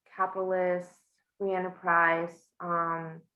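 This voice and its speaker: The speech goes at a very slow pace with fairly even intonation. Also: woman. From Bolivia. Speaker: small-business owner and immigrant. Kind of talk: interview. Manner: hesitant, many fillers.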